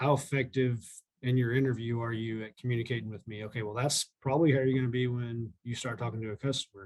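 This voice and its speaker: A man at a very fast pace with fairly even intonation. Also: medium pitch for a man. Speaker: equipment sales manager. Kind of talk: interview. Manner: loud.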